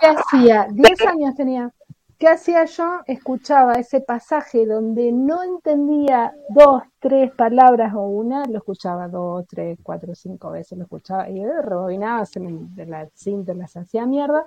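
High-pitched and dark, mellow in tone, a woman's voice makes very wide pitch swings and big jumps in loudness, recorded dry and close with no echo. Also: fairly slow pace. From Argentina. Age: 40s. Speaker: literary translator. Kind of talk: interview conversation.

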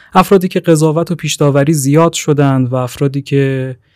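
A man with an ordinary speaking voice and a fairly high pitch. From Iran, Tehran. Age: 20s. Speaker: podcast host, graduate student. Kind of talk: interview; scripted narration.

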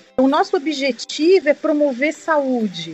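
A woman talks at a fairly slow pace. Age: 40s. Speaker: family doctor and dermatologist. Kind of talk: interview. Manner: halting.

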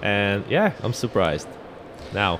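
A man talks with ordinary pitch variation. Noticeable background noise is heard behind him. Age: 30s. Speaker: podcast host. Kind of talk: casual interview. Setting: trade fair booth.

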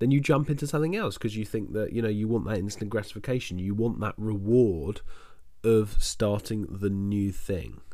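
His tone is dark and mellow. The man keeps a moderate pace. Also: fairly low pitch for a man, ordinary pitch variation. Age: 20s. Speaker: entrepreneur and podcast host. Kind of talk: solo monologue, personal story.

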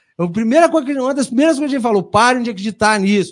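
A man with a Minas Gerais accent, high-pitched, animated in tone, with ordinary pitch variation, against a quiet background. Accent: mineiro Brazilian Portuguese. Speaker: podcast host. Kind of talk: casual chat.

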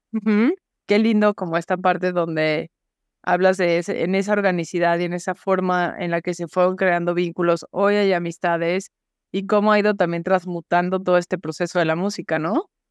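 A woman with a Mexican accent, a fairly low pitch and monotone, flat intonation at a moderate pace, in a dry, close sound without echo over a quiet background. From Mexico, Guadalajara. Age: 40s. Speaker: podcast host. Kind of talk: casual interview chat.

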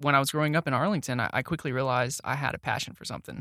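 A man with a Texan accent speaks at a medium pitch. The recording is very clean, with a silent background and a dry, close sound with no echo. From Texas, Dallas-Fort Worth area. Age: 20s. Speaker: marketing specialist. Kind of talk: casual interview chat. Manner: animated.

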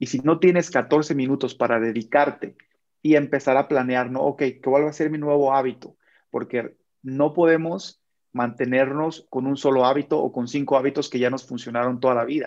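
A man has an unremarkable speaking voice, fairly high in pitch. He keeps a moderate pace and fairly even intonation. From Michoacán, Mexico. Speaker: army sergeant and motivational speaker. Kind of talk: casual interview chat.

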